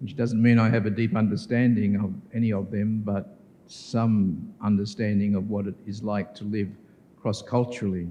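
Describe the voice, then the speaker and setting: A man with an Australian accent speaks at a moderate pace in a fairly low, dark, mellow tone with monotone, flat intonation and audible room echo. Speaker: professor. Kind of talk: keynote lecture. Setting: conference hall with audience.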